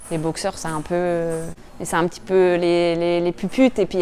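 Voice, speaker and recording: With a northern French accent, a woman speaks at a fairly quick pace. Her pitch sits in the medium range. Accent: regional northern French accent, noticeable. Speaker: professional boxer, world champion. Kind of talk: interview, personal reflections. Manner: hesitant, many repetitions and fillers.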